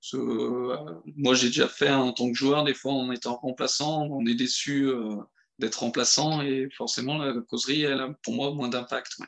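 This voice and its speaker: The man's pace is fairly slow. He speaks at medium pitch with fairly even intonation. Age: 30s. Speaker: amateur football coach. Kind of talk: podcast interview. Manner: hesitant, many fillers.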